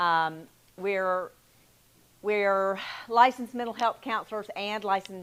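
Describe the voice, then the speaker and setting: This is a woman's voice. She speaks with a Southern US accent. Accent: Southern twang. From US South, Selma, Alabama. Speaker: mental health counselor. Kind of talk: talk to a church group.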